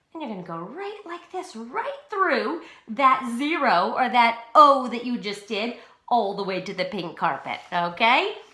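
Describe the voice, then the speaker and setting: Audible room echo surrounds a woman speaking at a fairly slow pace with a fairly high pitch. Her pitch swings very widely, and her loudness rises and falls a lot. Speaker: pre-K teacher. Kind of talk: tutorial. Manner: slow, clear instructional.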